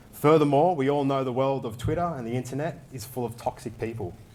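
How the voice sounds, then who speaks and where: A man with an Australian accent speaks at a fairly high pitch. His voice has a dark, mellow tone. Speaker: crypto project lead. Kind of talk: conference talk. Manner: fast.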